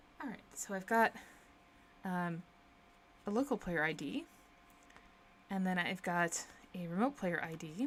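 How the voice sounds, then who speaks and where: A soft-spoken woman at a medium pitch, lively in intonation, at a fairly slow pace with long, frequent pauses. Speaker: programmer live streamer. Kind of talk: live coding stream.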